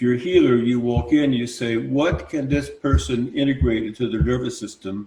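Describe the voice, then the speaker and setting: A man's dark, mellow tone, somewhat breathy, at a moderate pace. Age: 70s. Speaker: sound healer. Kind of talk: live panel discussion.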